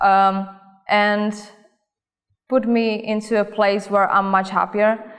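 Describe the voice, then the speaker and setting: With a Czech accent, a woman speaks at a very slow pace and medium pitch, her intonation monotone and flat. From Czech Republic, Olomouc. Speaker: cosmetics company worker. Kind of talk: interview answers.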